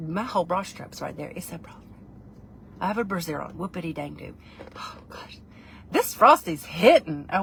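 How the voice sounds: Amid noticeable background noise, a woman with a fairly low voice and ordinary pitch variation speaks with big swings in loudness and long, frequent pauses. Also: moderate pace.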